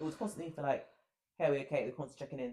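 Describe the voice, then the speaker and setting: The voice has a dark, mellow tone with ordinary pitch variation. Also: man. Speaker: podcast co-host. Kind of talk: casual chat. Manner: loud.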